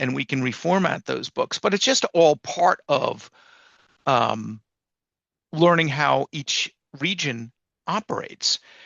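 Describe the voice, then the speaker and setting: A man with an American accent, at a fairly slow pace. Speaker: publisher and writer. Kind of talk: casual chat. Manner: repetitive, halting.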